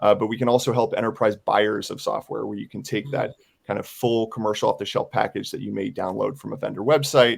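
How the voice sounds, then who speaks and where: A man with an American accent talks at a very fast pace, his loudness swinging widely. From United States. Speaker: software security product director. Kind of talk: panel webinar presentation.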